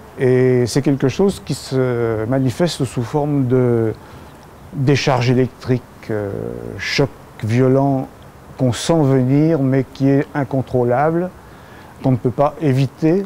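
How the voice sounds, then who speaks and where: Over noticeable background noise, a man speaks at a very slow pace with long, frequent pauses. His medium pitch varies in an ordinary way. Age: 70s. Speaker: patient giving testimony. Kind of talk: testimony. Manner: hesitant, many filler sounds.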